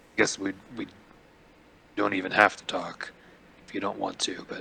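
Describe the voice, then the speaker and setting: A raspy put-on character voice at a moderate pace. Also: man, fairly low pitch for a man. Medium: actual play. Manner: halting, hesitant.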